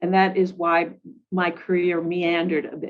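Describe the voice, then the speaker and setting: Her intonation monotone and flat, a woman speaks in a medium pitch. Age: 60s. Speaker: government IT executive. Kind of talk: interview. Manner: halting, many fillers.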